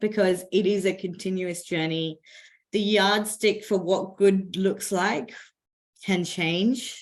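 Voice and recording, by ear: Using a hoarse put-on character voice, a woman speaks at a fairly slow pace and medium pitch with monotone, flat intonation.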